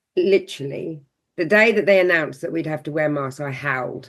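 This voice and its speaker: A woman with a southern English accent sounds animated, her tone bright and sharp. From southern England (Seaford, south coast; born London). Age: 60s. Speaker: holistic counsellor. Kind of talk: podcast interview, personal story. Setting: podcast conversation.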